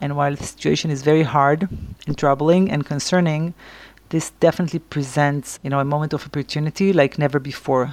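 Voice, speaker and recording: With an Israeli accent, the speaker keeps a fairly quick pace and fairly even intonation. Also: woman. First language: Hebrew. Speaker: civil rights lawyer and activist. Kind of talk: interview. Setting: remote call. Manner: hesitant, frequent fillers.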